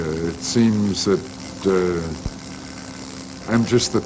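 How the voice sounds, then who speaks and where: Noticeable background noise runs under the speech. The pitch variation is ordinary. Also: man. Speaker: sculptor. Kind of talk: interview.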